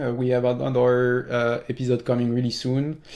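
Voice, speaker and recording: A man talks at a fairly quick pace with a French accent. His dark, mellow tone sits at a medium pitch. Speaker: podcast host. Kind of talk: interview.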